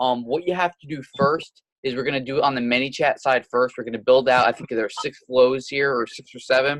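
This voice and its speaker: Talking at a fairly quick pace with hardly any pauses, a man holds a medium pitch and fairly even intonation. His loudness swings widely. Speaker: chatbot automation consultant. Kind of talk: tutorial. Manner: fast.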